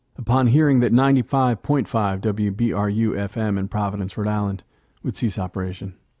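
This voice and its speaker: A man speaking at a fairly quick pace with very wide pitch swings, music playing in the background. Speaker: podcast host and narrator. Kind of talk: narrated history essay / podcast narration.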